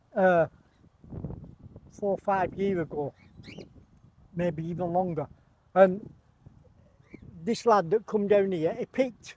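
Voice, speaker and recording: Speaking at a fairly slow pace with long, frequent pauses, a man with a high pitch and ordinary pitch variation is recorded dry and close with no echo. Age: 70s. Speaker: bird breeder. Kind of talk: casual interview.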